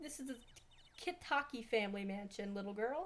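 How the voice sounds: A woman puts on a husky character voice, fairly high in pitch, and speaks at a moderate pace.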